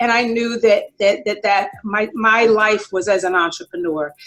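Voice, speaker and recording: A woman speaks at a fairly high pitch. Her pitch variation is ordinary. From Jamaica, raised in New York from childhood. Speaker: retired cosmetics sales executive, entrepreneur. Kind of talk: interview.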